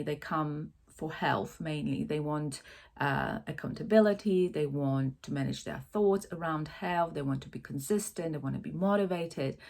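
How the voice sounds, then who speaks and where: A woman's very deep, low voice with a non-native accent, moderate pace and ordinary pitch variation, on a very clean recording with a silent background. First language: not English. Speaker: life coach. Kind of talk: casual talk to camera. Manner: hesitant, many fillers.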